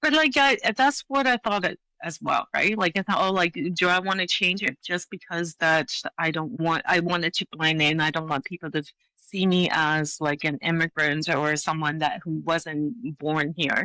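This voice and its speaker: Speaking at a moderate pace with a slight Hong Kong accent, a woman has a fairly low voice, a bright, sharp tone and lively intonation, heard dry and close with no echo. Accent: slight British-tinged Hong Kong. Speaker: leadership coach. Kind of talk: interview.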